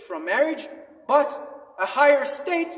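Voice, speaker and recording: The speaker is a man with a non-native accent. Room echo is audible. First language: not English. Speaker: religious apologetics vlogger. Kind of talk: religious monologue. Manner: halting, many fillers.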